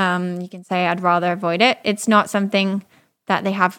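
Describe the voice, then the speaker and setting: A woman speaks fairly quickly with a slight British accent and a medium pitch. The recording is very clean, with a silent background. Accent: slight British-tinged English. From France, Paris. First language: French. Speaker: data scientist and consultant. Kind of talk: interview.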